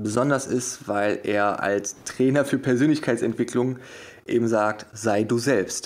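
A man talks at a fairly slow pace and medium pitch. He has an ordinary speaking voice. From Germany, Wuppertal. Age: 30s. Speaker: hypnosis coach and motivational speaker. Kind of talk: interview.

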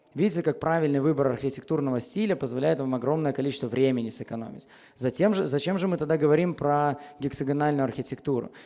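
A man speaks very fast in a fairly high voice, with ordinary pitch variation. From Belarus, Minsk; Belarus. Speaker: software architect, conference speaker; conference speaker. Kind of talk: conference talk. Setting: stage with audience. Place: hall. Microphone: headset.

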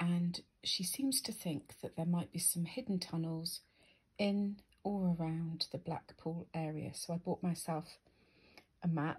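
Over a quiet background, the speech moves at a very slow pace with long, frequent pauses. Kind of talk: casual vlog chat. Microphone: phone near.

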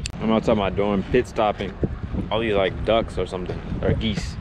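A man talks very fast over loud background noise. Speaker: student vlogger. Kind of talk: casual vlog chat. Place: street. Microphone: phone near.

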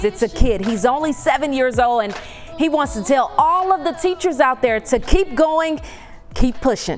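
A woman speaks in a high voice with lively intonation. Her pace is moderate, and music plays in the background. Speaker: TV presenter. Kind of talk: news segment presentation. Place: studio.

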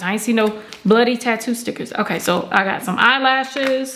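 A woman at fairly high pitch and a moderate pace, with noticeable background noise. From Georgia, US South. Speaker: beauty YouTuber. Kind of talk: product review haul. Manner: animated. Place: home room.

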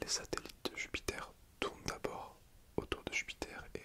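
A soft-spoken man's whispering. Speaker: vlogger. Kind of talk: casual explanatory vlog chat. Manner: soft close whisper, ASMR style. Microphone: phone near.

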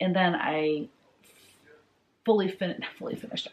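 Speaking at a moderate pace, a woman lets her pitch vary in an ordinary way. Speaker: cross stitch designer vlogger. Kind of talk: casual vlog chat. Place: home room.

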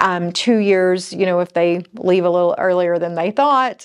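Against a quiet background, a woman's voice shows ordinary pitch variation. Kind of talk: casual vlog chat. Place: studio.

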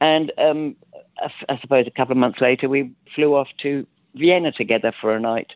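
In an English accent, a man speaks with fairly high pitch. His pace is moderate. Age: 60s. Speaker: sound artist. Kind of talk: interview.

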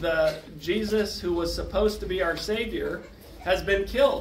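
A man at a fairly slow pace, over noticeable background noise. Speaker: presenter. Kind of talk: lecture. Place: meeting room.

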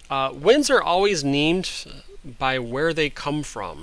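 A man with a fairly high pitch speaks at a very slow pace. Audible room echo surrounds his voice. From Michigan, US (Osceola County). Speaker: teacher. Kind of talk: lecture. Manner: halting.

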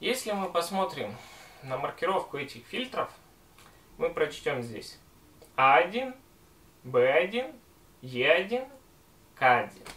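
Speaking at a very slow pace with long, frequent pauses, a man uses a high voice with very wide pitch swings. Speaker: gas mask and respirator collector. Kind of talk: casual talk to camera.

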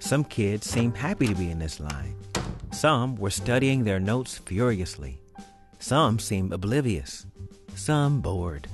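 Music plays in the background as a man talks at a fairly slow pace. His pitch is fairly low, with very wide swings. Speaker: actor. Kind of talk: read story narration.

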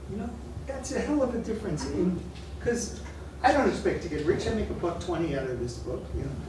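Speech comes at a very fast pace, broken by long, frequent pauses. Noticeable background noise and audible room echo surround it. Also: man. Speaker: sociology professor. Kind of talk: lecture. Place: classroom. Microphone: camera far.

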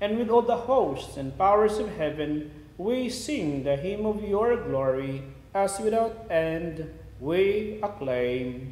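His pitch swings very widely as he talks at a very slow pace. There is audible room echo around the man's voice. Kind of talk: homily and Mass liturgy, fervent prayer. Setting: church during Mass, live-streamed. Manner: earnest, solemn, reverent in prayer; halting with fillers in homily. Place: church.

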